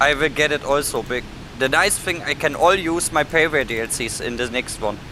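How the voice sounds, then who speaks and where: Speaking fairly quickly with a German accent, a man has a fairly high pitch and ordinary pitch variation, with noticeable background noise behind him. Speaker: flight sim gamer. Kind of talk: casual chat.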